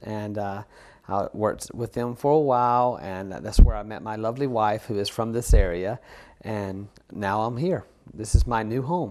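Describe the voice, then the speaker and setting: A man speaks in a Southern US accent. His pace is moderate and his pitch variation ordinary. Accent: Southern US (Georgia). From US South, Georgia. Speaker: photographer. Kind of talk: interview. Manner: halting, many fillers.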